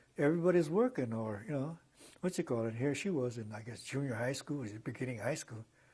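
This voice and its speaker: A somewhat breathy man with an American accent, medium pitch and lively intonation, against a quiet background. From Los Angeles, California. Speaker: civil rights activist. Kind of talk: oral history interview answer. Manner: hesitant, conversational.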